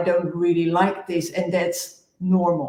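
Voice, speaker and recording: A woman with a Dutch accent at a fairly slow pace, with audible room echo. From Netherlands. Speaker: executive coach. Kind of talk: panel discussion.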